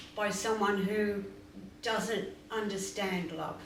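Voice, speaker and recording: Audible room echo surrounds a woman speaking at a very slow pace. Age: 80s+. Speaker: spiritual teacher. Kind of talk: question and answer interview.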